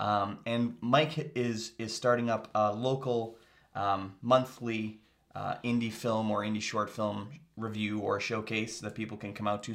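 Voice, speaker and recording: A man speaks in an unremarkable speaking voice, his pitch medium and his intonation fairly even. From Canada, Kitchener-Waterloo region. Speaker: podcast host.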